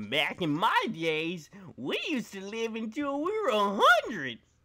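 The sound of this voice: Using a put-on character voice, the speaker talks at a fairly slow pace with a fairly high pitch.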